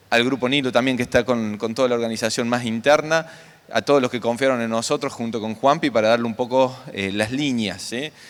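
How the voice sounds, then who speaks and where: A man's voice with fairly even intonation, over noticeable background noise. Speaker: conference coordinator, agronomist. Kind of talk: conference welcome speech.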